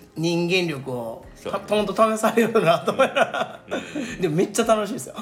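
Noticeable background noise runs behind a high-pitched man. His intonation is lively, with big swings in loudness. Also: moderate pace. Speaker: udon shop promoter. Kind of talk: casual chat.

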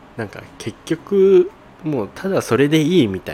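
His pitch swinging very widely, a man talks over noticeable background noise. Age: 20s. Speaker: eyewear shop manager and podcast host. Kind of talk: solo casual chat. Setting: shop before opening.

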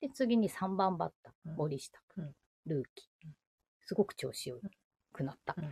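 Somewhat breathy and dark, mellow in tone, a woman at medium pitch makes very wide pitch swings and big swings in loudness, leaving long, frequent pauses in a dry, close sound with no echo. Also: moderate pace. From Ibaraki, Japan. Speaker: podcast co-host. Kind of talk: casual chat.

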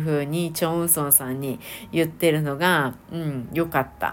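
This woman's pitch is very deep and low. Her pace is moderate. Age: late 40s to early 50s. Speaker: podcast host, Korean drama fan. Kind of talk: casual solo review talk. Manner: chatty, many fillers.

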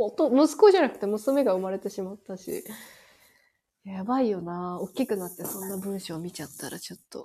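Speaking at a fairly quick pace with a Kansai accent, a woman has a medium pitch and a dark, mellow tone. Her intonation is lively and her loudness swings widely. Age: 30s. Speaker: podcast co-host. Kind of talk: casual chat.

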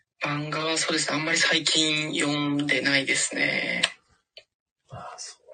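A fairly slow pace with music in the background. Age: 20s. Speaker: office worker. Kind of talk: interview.

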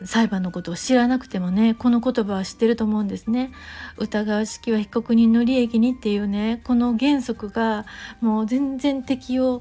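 Her tone is dark and mellow, her pitch fairly high. The woman keeps her intonation fairly even. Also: moderate pace. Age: 40s. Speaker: podcaster. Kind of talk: solo monologue. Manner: halting, many fillers.

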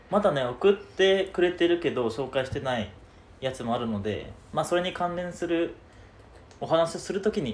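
A man talks in a high pitch with lively intonation. His pace is moderate. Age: 20s. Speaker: podcast co-host. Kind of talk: casual chat. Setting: rented studio space in Shibuya.

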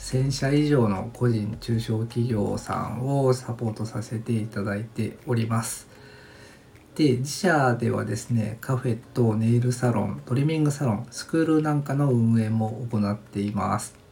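Taking his time, a man speaks fairly slowly at a medium pitch. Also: ordinary pitch variation. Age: 40s. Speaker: design company owner, podcast host. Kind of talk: solo podcast monologue, self-introduction. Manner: relaxed, laid-back; polite, with many filler words.

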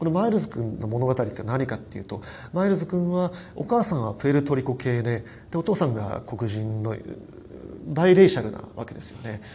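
A man speaks at a fairly quick pace in a somewhat breathy voice whose pitch swings very widely. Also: medium pitch for a man, big swings in loudness. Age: 40s. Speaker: film critic podcaster. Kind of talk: solo film review monologue. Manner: fast run-on narration; frequent fillers.

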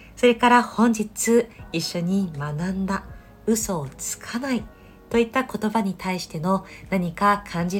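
Fairly slow, somewhat breathy speech from a woman, medium in pitch, with ordinary pitch variation. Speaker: yoga teacher and podcast host. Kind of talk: casual solo talk.

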